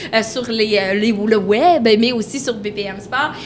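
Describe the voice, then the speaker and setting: A woman speaks in a room with audible echo, and noticeable background noise runs underneath. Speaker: podcast host. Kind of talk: casual chat. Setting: outdoor bar on location.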